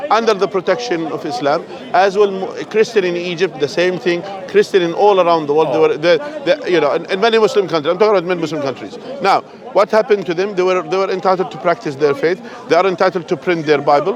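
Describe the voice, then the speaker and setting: Over crowd noise in the background, a man with an Arabic accent talks very fast in a high pitch with ordinary pitch variation. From Jordan. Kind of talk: heated street debate. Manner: repetitive, stammering.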